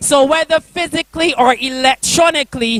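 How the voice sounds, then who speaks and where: With music in the background, a man speaks with an extremely high pitch and ordinary pitch variation in a dry, close sound with no echo. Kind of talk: spoken word poetry performance. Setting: church youth convention.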